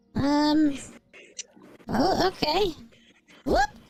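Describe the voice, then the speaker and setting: Over background music, a squeaky, high-pitched put-on character voice is performed. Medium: actual play. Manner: eager, bumbling.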